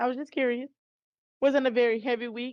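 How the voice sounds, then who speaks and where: A woman speaks at a moderate pace. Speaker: college instructor. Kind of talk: lecture.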